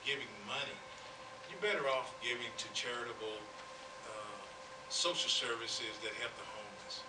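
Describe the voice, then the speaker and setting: Loud background noise fills the recording. Through it, a man speaks at a moderate speed. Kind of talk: press conference answer. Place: hall. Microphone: podium.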